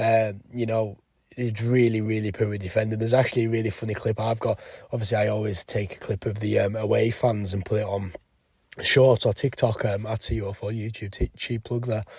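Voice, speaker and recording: A man with a fairly low, somewhat breathy voice speaks at a fairly quick pace in a monotone, flat intonation. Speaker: football fan vlogger. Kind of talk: match review vlog. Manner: casual, hesitant with fillers.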